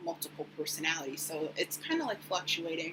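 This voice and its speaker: A woman speaks quietly. Her pitch is very deep and low. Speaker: vlogger sharing mental health update. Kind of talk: personal vlog. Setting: recording at home at the computer. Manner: quiet, subdued; hesitant, many fillers.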